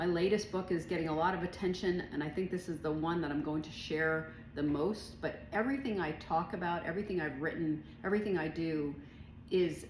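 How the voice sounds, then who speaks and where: Speaking at a fairly quick pace with ordinary pitch variation, the voice carries audible room echo. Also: woman. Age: 60s. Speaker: author and business owner. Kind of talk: casual monologue to camera. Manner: casual, many fillers.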